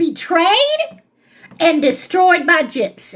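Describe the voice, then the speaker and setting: A woman speaks loudly at an extremely high pitch. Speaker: commentary channel host. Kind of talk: reaction commentary.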